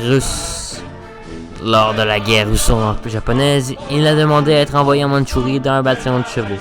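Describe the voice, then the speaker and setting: A fairly high-pitched man at a moderate pace with ordinary pitch variation, music in the background. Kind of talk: history explainer narration. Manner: casual, crude, joking.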